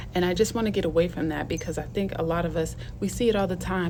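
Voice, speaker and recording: Talking at a very fast pace, a woman has a fairly low voice. Background noise is noticeable, and the room echo is audible. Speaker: video blogger and teacher. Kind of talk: casual vlog monologue.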